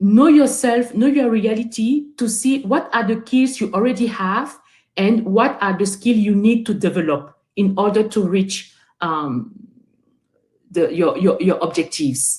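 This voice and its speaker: A somewhat breathy woman's voice, fairly high in pitch, with lively intonation and a French accent. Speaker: webinar guest speaker. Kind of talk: motivational talk to youth. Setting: online webinar. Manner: halting, many repeated words and fillers.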